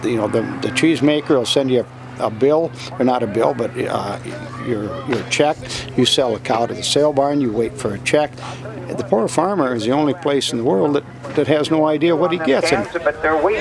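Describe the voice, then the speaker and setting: The speaker has an American accent and ordinary pitch variation at a moderate pace. Background noise is noticeable. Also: man, medium pitch for a man. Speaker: auctioneer, second- or third-generation. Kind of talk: interview answer, conversational. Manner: plain-spoken, sad, weary.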